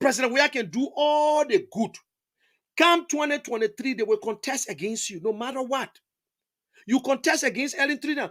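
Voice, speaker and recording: Animated in tone, a man speaks at a moderate pace in an extremely high voice with lively intonation. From Liberia. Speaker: online talk show host. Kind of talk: political commentary monologue.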